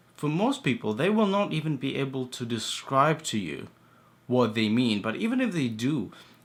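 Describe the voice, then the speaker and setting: A man speaks quietly with lively intonation. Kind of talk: casual talk to camera.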